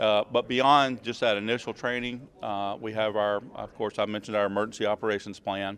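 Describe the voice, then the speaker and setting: A man talks in a flat monotone at a fairly low pitch, with hardly any pauses. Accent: Southern US. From US South, Georgia. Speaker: emergency preparedness manager. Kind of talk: interview. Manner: hesitant, many fillers.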